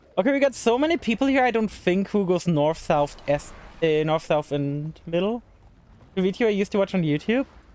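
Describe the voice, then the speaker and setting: With a German accent, a man talks fairly quickly in a high voice, his intonation lively and his loudness very even. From Germany. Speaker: video game streamer. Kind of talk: live gaming stream chat. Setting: live stream. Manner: fast; casual.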